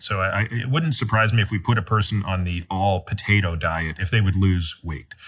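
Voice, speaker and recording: Here is a man with a plain, everyday voice, pitched fairly low. He keeps a moderate pace and ordinary pitch variation. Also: very clean recording, silent background. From Toronto, Canada. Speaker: physician and author. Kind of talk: interview conversation.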